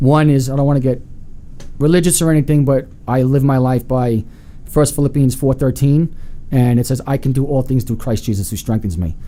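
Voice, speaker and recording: With a New York accent, a man speaks at a fairly quick pace in a medium pitch and a dark, mellow tone. His pitch varies in an ordinary way, and his loudness stays very even. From Long Island, New York. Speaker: real estate agent. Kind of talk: interview.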